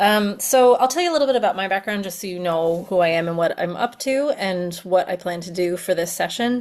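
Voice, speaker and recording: A woman uses an ordinary speaking voice at a medium pitch with ordinary pitch variation. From US, Pennsylvania. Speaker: education consultant. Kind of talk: webinar presentation. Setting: video call webinar. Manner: casual, filler-heavy.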